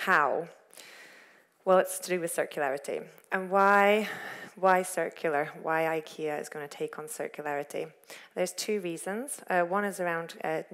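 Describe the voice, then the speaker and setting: A woman with an unremarkable speaking voice talks at a moderate pace, her pitch fairly low with ordinary variation. The recording is very clean, with a silent background. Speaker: corporate sustainability lead giving a talk. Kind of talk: lecture. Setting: stage with audience.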